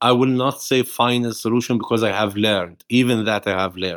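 At a fairly quick pace, a man speaks at a fairly low pitch in a very clean recording with a silent background. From Palestine. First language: Arabic. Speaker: nonviolence activist. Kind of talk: interview.

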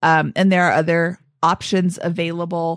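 A woman speaks in a normal speaking voice at a fairly slow pace, with a fairly low pitch. The recording is very clean with a silent background, and the sound is dry and close with no echo. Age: 50s. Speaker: finance podcast host. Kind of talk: casual chat.

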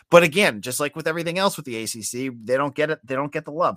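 A man's fairly high voice with a slight Boston accent, dry and close with no echo. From Boston, northern US. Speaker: college football podcaster.

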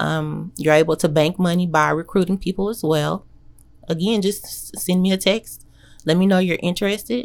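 Here is an unremarkable speaking voice from a woman with an American accent. She talks at a moderate pace with ordinary pitch variation. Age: young. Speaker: insurance agent and dog breeder. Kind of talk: interview.

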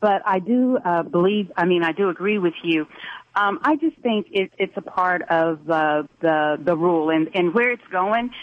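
An ordinary speaking voice from a woman with an American accent, medium in pitch, moderate in pace, with lively intonation and very even loudness. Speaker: radio caller. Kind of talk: call-in opinion. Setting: phone call.

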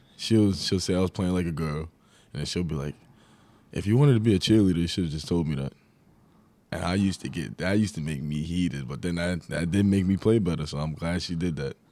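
On a very clean recording with a silent background, a man with a New York accent and a very deep, low pitch speaks at a very fast pace with ordinary pitch variation. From New York, Long Island. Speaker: college basketball player. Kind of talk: interview.

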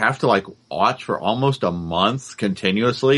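This man has a plain, everyday voice at a medium pitch. His pace is moderate and his pitch variation ordinary. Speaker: podcast co-host. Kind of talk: casual chat.

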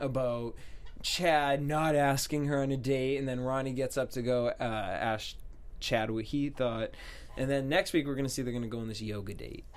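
Mumbling at a moderate pace, a man keeps a medium pitch and fairly even intonation. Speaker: TV aftershow host. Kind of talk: casual chat. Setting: studio. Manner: mumbles in regular voice, clearer host voice on air.

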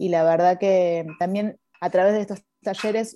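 A woman speaks at a moderate pace in an ordinary speaking voice, her pitch fairly low. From Argentina. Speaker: film director. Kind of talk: interview.

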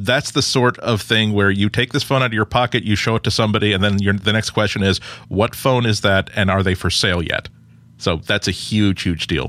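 On a very clean recording with a silent background, a man talks fairly quickly at a fairly low pitch in a bright, sharp tone, with ordinary pitch variation and very even loudness. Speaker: tech panelist. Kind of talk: casual chat. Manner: humorous.

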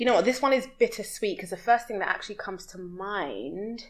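This is a woman's voice. She speaks with a London accent. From West London, UK. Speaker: expat entrepreneur and community connector. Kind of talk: casual interview chat.

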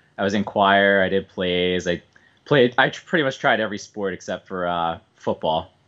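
The voice comes with a Philadelphia accent at a moderate pace. The background is quiet. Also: man. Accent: Philadelphia-area American. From US Northeast, suburban Philadelphia. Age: 20s. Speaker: bowler. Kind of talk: casual chat.

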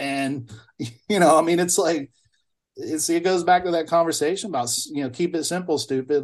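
This man talks at a moderate pace with a Mississippi accent. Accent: Southern US (Mississippi). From US South, Mississippi (Bolton). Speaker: blues musician. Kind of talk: casual interview chat.

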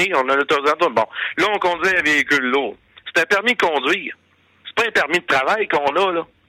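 A man with a bright, sharp tone and fairly high pitch talks at a fairly quick pace with ordinary pitch variation and long, frequent pauses, in a dry, close recording with no echo. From Quebec, Gaspésie. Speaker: former truck driver and radio host. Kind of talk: interview.

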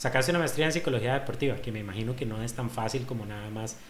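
A man's medium-pitched voice at a very fast pace, with audible room echo and noticeable background noise. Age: 30s. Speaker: podcast host, fitness gym owner. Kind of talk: casual chat; sales pitch.

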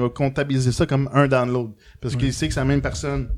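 This man talks very fast with a Quebec accent, his voice pitched fairly high. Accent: Québécois French. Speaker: podcaster. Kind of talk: live podcast chat.

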